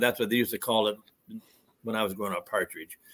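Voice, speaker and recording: With a Minnesotan accent, a man speaks in a fairly even intonation. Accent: Minnesota. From northern Minnesota. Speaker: Bigfoot eyewitness. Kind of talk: casual chat.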